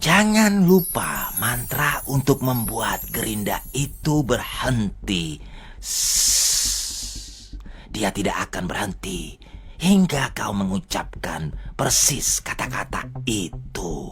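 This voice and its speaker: A put-on character voice at a very slow pace, with hissing and light background noise. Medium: fan dub. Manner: hissing, drawn-out 'shh' sounds.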